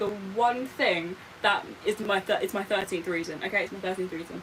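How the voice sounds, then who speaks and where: A woman's medium-pitched voice with ordinary pitch variation, a moderate pace and noticeable background noise. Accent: British. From Britain. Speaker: live streamer. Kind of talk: casual livestream chat while doing makeup. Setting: livestream. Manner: animated.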